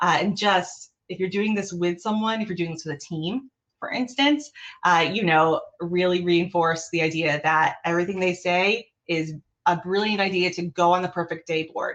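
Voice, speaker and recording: A woman's normal speaking voice, fairly low in pitch with ordinary pitch variation, at a moderate pace against a quiet background. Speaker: behavioural analyst leading an improv workshop. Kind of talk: online workshop presentation. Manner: casual, filler-heavy.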